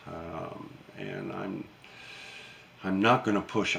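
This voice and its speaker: Against noticeable background noise, a man with a very deep, low pitch speaks very slowly with fairly even intonation. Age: 70s. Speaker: YouTuber and retired gunsmith. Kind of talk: casual vlog monologue. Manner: halting, many fillers and repeats.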